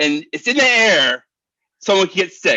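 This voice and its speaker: A man's raised, projected voice has a bright, sharp tone and very wide pitch swings. The sound is dry and close, with no echo. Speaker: public commenter at town meeting. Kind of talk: public comment speech. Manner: loud; halting.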